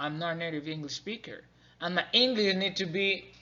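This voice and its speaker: A man with a Spanish accent and ordinary pitch variation. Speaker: student learning to be an English teacher. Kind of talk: class presentation. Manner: halting, many fillers and restarts.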